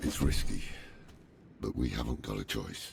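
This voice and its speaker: Through clear background noise, a man performs a raspy put-on character voice at a very deep, low pitch and a moderate pace. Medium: video game. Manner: measured, grave.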